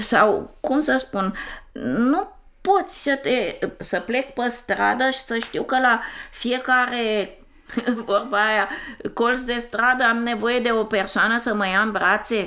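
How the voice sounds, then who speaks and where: A woman's fairly high, bright, sharp voice at a very slow pace, with ordinary pitch variation. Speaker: interviewee. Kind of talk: casual chat.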